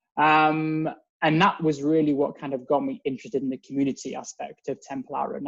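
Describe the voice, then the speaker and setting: In an English accent, a man with fairly high pitch talks at a moderate pace, the sound dry and close with no echo. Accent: English accent, noticeable. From England. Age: 30s. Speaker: synagogue member. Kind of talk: casual interview.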